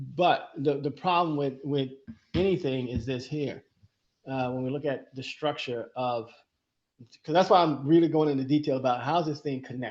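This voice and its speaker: At a fairly quick pace, a man with a fairly high pitch speaks with fairly even intonation in a normal speaking voice. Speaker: podcast co-host. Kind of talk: educational conversation.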